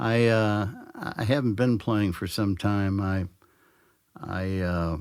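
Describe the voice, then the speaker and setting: The pace here is very slow. Pitch varies in an ordinary way. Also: man. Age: 70s. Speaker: blues musician. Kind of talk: interview. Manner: halting.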